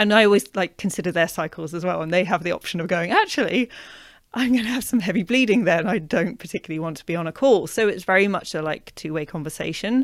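With a British accent, a woman speaks very fast at medium pitch, her loudness swinging widely and her pitch varying in an ordinary way, on a very clean recording with a silent background. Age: 40s. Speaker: author and menstrual health coach. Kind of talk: casual interview.

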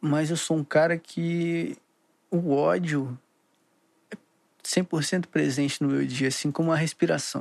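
Fairly high in pitch, a man talks at a very slow pace with fairly even intonation and long, frequent pauses. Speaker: podcaster. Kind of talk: casual rambling monologue. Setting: home, recording at computer.

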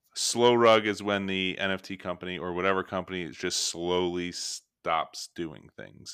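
A man with a very deep, low pitch and a bright, sharp tone speaks at a moderate pace with fairly even intonation on a very clean recording with a silent background. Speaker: podcast host. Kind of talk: casual chat.

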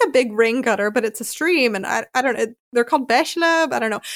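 A high-pitched woman's voice with a Philadelphia accent, at a fairly quick pace. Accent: American, Philadelphia. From US Northeast, Philadelphia. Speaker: podcast host, American expat. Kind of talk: casual interview chat. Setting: remote call.

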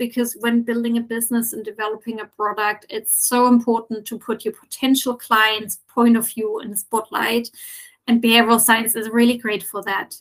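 A woman with a German accent, fairly high pitch and monotone, flat intonation, at a moderate pace with big swings in loudness. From Germany. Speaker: sustainability consultant. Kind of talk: interview.

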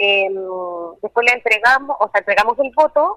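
The speech moves at a fairly quick pace with ordinary pitch variation. The sound is dry and close, with no echo. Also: woman. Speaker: polling station official. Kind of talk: phone interview.

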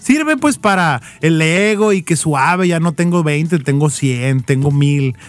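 A plain, everyday voice from a man, fairly high in pitch, fairly slow, with ordinary pitch variation and very even loudness. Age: 30s. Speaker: marketing freelancer and advertising consultant. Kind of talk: casual chat. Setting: studio.

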